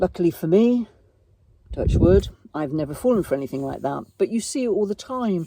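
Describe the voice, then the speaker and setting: The pace here is moderate. The voice comes with an English accent. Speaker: vlogger. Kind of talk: casual chat. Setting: outdoors at a campsite. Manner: speaking quietly.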